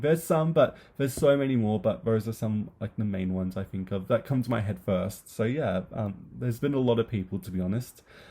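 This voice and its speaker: Here a man with an Australian accent talks at a fairly quick pace and medium pitch. His tone is dark and mellow, with ordinary pitch variation. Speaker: booktuber. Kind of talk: casual chat. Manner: hesitant, many fillers.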